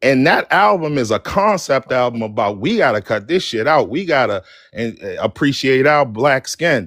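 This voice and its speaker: With a Baltimore accent, a man talks at a moderate pace and medium pitch, his pitch swinging very widely, in a very clean recording with a silent background and a dry, close sound with no echo. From West Baltimore, Maryland. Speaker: caller on live talk stream. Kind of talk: casual chat.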